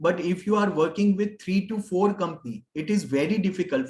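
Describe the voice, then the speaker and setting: A man with an Indian accent speaks at a moderate pace with ordinary pitch variation. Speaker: HR consultant, pension expert. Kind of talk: webinar Q&A. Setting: online webinar. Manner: halting, many fillers.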